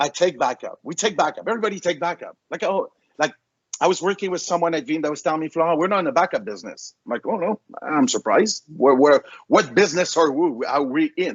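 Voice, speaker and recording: A man with a slight French accent talks very fast at a high pitch. His intonation is lively. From France. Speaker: vendor presenter. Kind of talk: webinar presentation. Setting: online webinar. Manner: animated.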